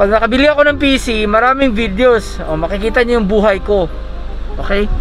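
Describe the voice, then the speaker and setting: A man's extremely high-pitched voice at a moderate pace, with ordinary pitch variation, dry sound with no echo, and light background noise. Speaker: vlogger. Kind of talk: casual vlog chat. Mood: playful, upbeat. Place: car. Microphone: phone near.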